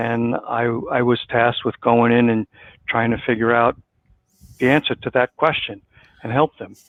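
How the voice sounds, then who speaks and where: A man with an American accent speaks in a flat monotone. He leaves long, frequent pauses. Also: medium pitch for a man, moderate pace. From New York. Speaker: business consultant. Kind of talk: interview.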